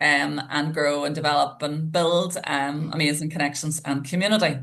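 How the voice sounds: A woman speaks at a low pitch with ordinary pitch variation. Her tone is fairly bright, with vocal fry.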